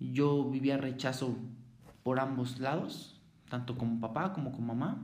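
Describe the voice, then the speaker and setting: In a Mexico City accent, a man at a medium pitch speaks at a fairly slow pace with audible room echo. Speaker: former juvenile offender. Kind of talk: testimony. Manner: halting.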